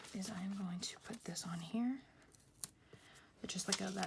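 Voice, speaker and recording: This woman's voice sits at a medium pitch. It is also somewhat breathy. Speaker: planner vlogger. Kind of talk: casual tutorial. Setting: at home. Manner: whispering.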